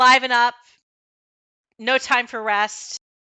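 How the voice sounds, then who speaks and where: A woman's put-on character voice, high-pitched and gruff, shouting in a monotone, flat intonation. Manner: barking, shouted.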